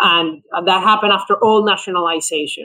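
In a Spanish accent, a raised, projected voice carries at a moderate pace. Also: man. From Venezuela. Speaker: economist. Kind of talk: podcast interview.

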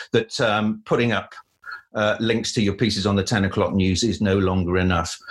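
Loudness stays very even, with a Cardiff accent. Intonation is fairly even and the pace moderate. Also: man, fairly low pitch for a man. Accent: Welsh (Cardiff). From Wales, Cardiff. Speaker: news producer. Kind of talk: interview.

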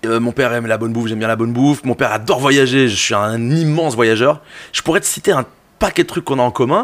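At a fairly quick pace, a man of medium pitch talks in an animated tone with ordinary pitch variation. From Belgium, Brussels. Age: 30s. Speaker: music journalist and DJ. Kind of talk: casual chat.

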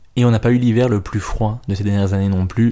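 A man with a Belgian accent, fairly low in pitch, dark and mellow in tone. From Belgium. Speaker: stand-up comedian and podcaster. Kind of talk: solo podcast monologue.

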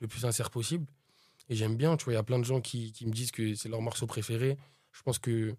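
Talking very fast with fairly even intonation, a man at medium pitch has a dark, mellow, somewhat breathy tone and big swings in loudness. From France, Pantin, Seine-Saint-Denis (93). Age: 20s. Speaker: rapper. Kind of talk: interview. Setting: studio.

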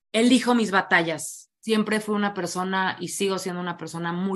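Against a quiet background, a woman with a Mexican accent speaks at a moderate pace in a fairly low pitch, with ordinary pitch variation. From Mexico, Morelia. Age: 30s. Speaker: recovering alcoholic and addiction speaker. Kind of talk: testimony.

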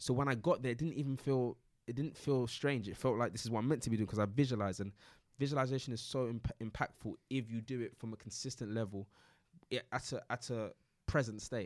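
A man with a London accent, very fast and fairly even in intonation, on a very clean recording with a silent background. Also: medium pitch for a man. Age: 20s. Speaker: entrepreneur. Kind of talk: casual interview.

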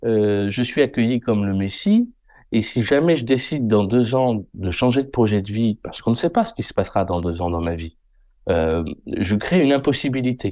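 A man with a dark, mellow tone talks at a fairly slow pace, his intonation lively. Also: quiet background. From France, Haute-Vienne (Limousin). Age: 30s. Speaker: general practitioner. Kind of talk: interview. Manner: halting, repeats words.

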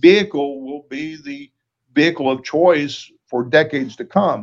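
With ordinary pitch variation, a man speaks in a fairly high voice. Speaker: retired law enforcement officer and defense industry executive. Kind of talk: interview. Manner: halting.

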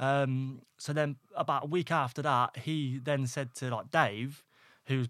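A man speaks with an East Midlands accent on a very clean recording with a silent background. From East Midlands, England (Northampton). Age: 20s. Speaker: electrician and property investor. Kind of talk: casual interview. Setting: studio.

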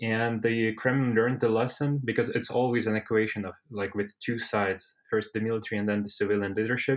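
In a Russian accent, a man speaks at a fairly quick pace with hardly any pauses. His medium-pitched delivery has monotone, flat intonation. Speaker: civil-military relations researcher. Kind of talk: expert panel discussion.

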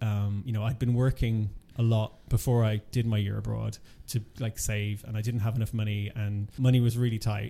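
A man with an Irish accent speaks at a fairly quick pace in a fairly low pitch. His tone is dark and mellow, and his intonation stays monotone and flat. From Ireland. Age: 40s. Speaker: HIV charity programme manager. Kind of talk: interview.

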